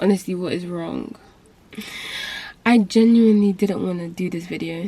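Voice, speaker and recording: Whispering, a woman speaks at a moderate pace. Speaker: booktube vlogger. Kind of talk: casual vlog rant.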